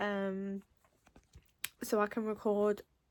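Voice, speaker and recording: Speaking at a very slow pace, a woman with a Mancunian accent uses a fairly high pitch. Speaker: artist vlogger. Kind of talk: casual vlog talk. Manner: hesitant, many ums.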